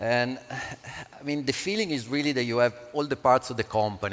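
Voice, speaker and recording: The speech carries an Italian accent and fairly even intonation. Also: man. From Italy. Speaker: panel moderator, crypto entrepreneur. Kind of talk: panel discussion.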